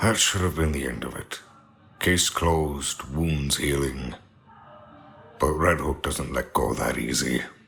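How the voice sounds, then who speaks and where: In a put-on character voice, a man growls out raspy words at a very deep, low pitch and a fairly slow pace. Faint music sits in the background. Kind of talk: noir narration. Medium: audio drama.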